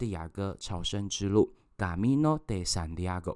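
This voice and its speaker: A man with a plain, everyday voice, fairly low in pitch, lively intonation, on a very clean recording against a silent background. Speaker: podcast host. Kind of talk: scripted narration; interview.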